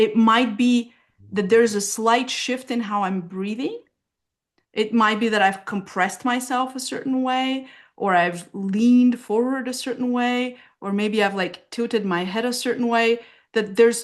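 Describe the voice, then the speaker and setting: A woman with a Bulgarian accent, fairly high in pitch with ordinary pitch variation, at a fairly slow pace against a quiet background. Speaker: somatic therapist. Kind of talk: casual interview.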